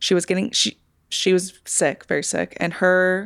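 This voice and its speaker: Vocal fry marks a woman's medium-pitched voice on a very clean recording with a silent background. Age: 30s. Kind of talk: casual chat.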